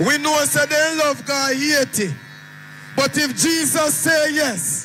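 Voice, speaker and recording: Over music in the background, a man uses a raised, projected voice at an extremely high pitch, speaking at a very slow pace with very even loudness and fairly even intonation. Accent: Jamaican. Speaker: rally MC. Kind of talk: rally speech.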